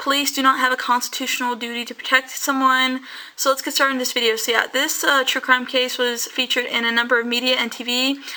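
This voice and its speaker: A woman's raised, projected voice, high in pitch with a bright, sharp tone. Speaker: YouTuber, true crime narrator. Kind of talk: casual true crime storytelling. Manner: fast; halting, self-correcting.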